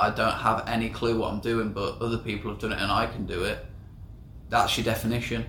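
There is audible echo in the room as a man talks at a medium pitch with monotone, flat intonation. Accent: English. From England. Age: 20s. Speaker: podcast co-host, entrepreneur. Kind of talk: casual chat.

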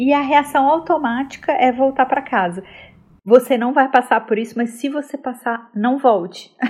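A woman with a high pitch speaks at a moderate pace, her pitch varying in an ordinary way. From Belo Horizonte, Minas Gerais, Brazil. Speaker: TV executive and presenter. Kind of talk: casual interview.

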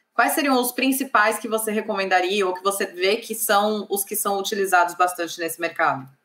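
A woman's plain, everyday voice at a medium pitch, fairly quick with hardly any pauses and ordinary pitch variation. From Brazil, São Paulo. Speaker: civil engineer and channel host. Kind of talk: live interview. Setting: online livestream.

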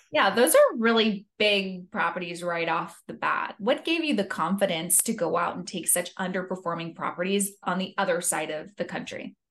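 At a moderate pace and with hardly any pauses, a woman with a plain, everyday voice talks at a medium pitch with ordinary pitch variation. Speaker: podcast host. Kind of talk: interview.

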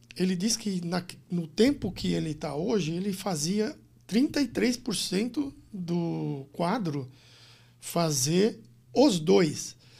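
A man with a high pitch and a dark, mellow tone speaks at a very slow pace. His intonation is lively. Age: 60s. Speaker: business consultant and executive coach. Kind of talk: interview conversation.

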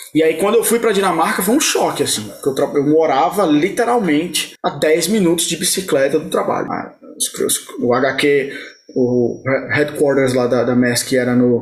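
Against noticeable background noise, a man with a fairly high voice speaks with lively intonation. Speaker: site reliability engineer. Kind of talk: interview.

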